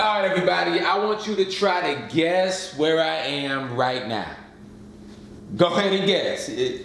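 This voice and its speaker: Noticeable background noise and audible room echo surround this recording. A man with a high pitch talks at a fairly slow pace with lively intonation. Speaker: YouTuber dad and sponsored video host. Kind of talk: casual vlog-style sponsored presentation.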